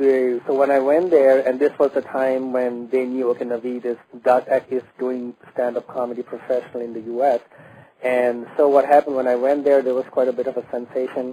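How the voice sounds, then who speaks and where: Monotone, flat intonation marks this man's speech. He talks at a fairly quick pace and medium pitch. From Bangladesh. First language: Bengali. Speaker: stand-up comedian. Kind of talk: radio interview. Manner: halting, many fillers and restarts.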